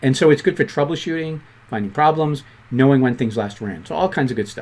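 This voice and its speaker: Someone with a Boston accent speaks at a very fast pace with lively intonation, in a very clean recording with a silent background. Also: man, fairly high pitch for a man. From Boston, US. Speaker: programming instructor. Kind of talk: tutorial.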